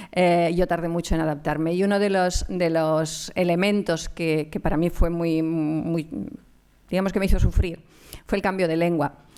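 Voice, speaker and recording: A woman with a Galician accent speaks at a moderate pace in a fairly low voice with a dark, mellow tone. Her monotone, flat delivery sits on a very clean recording with a silent background. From Catalonia, raised in Barcelona area after Galicia. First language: Galician (speaking Spanish). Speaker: anthropologist and lecturer. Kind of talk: conference talk. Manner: hesitant, many fillers.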